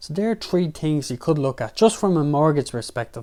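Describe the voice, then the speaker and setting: A man's dark, mellow voice with an Irish accent at a fairly quick pace, in a very clean recording with a silent background. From Ireland. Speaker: personal finance YouTuber. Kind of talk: tutorial.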